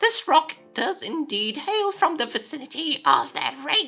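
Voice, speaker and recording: A man in a put-on character voice. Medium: game stream. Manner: cheerful, effusive.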